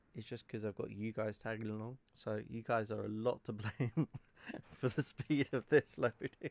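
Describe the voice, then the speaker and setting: The sound is dry and close, with no echo. A man with a British accent talks at medium pitch with ordinary pitch variation. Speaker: gaming video creator; delivery truck driver. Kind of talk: casual gameplay commentary. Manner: hesitant, many fillers.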